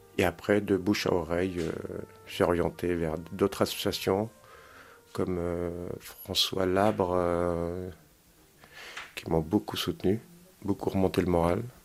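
The speech moves at a very slow pace, broken by long, frequent pauses. Its intonation stays fairly even. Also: man, very deep, low pitch for a man. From Normandy, Caen. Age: 50s. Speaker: resident of social housing. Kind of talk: interview testimony.

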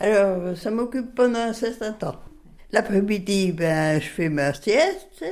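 A woman speaks at a very slow pace. Her intonation is lively. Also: medium pitch for a woman. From France, Bresse (Viriat, Ain). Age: 80s+. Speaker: retired farmer. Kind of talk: interview. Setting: home kitchen.

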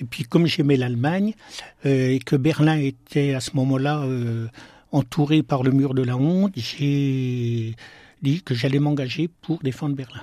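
A man's fairly high voice in a dark, mellow tone, at a fairly slow pace with fairly even intonation and long, frequent pauses. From eastern France, Besançon (Franche-Comté). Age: 60s. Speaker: deacon and hospital chaplain. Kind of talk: radio interview. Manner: halting.

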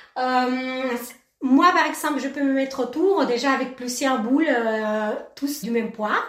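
Speaking with an Argentine accent, a woman uses a high pitch and ordinary pitch variation, leaves long, frequent pauses, and has audible room echo around her. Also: fairly slow pace. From Argentina, Mendoza. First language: Spanish (speaking French). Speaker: ceramic artist. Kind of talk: radio interview.

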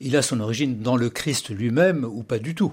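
A man with a normal speaking voice, lively intonation and a moderate pace, in a very clean recording with a silent background. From Paris, France. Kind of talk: radio interview. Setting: studio.

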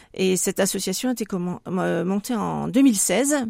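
Dark, mellow tones from a woman, captured on a very clean recording against a silent background. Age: 60s. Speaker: retired hospital worker and association president. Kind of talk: radio interview. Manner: hesitant, with fillers.

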